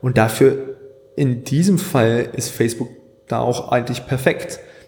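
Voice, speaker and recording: Audible room echo surrounds speech that unfolds fairly slowly. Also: man. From Germany (Hanover) and Scotland. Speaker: graphic designer and videographer. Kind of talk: casual interview.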